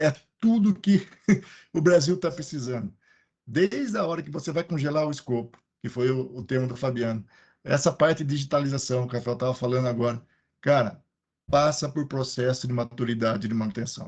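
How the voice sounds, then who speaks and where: Talking at a fairly quick pace but with long, frequent pauses, a man speaks at a medium pitch, somewhat breathy, with ordinary pitch variation and a quiet background. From Piracicaba, interior of São Paulo state, Brazil. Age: 50s. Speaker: maintenance engineering consultant. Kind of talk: panel discussion in a live stream.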